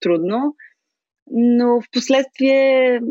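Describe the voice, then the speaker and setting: A woman at a fairly high pitch and a very slow pace. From Bulgaria, Smolyan. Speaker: expat interviewee. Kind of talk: interview.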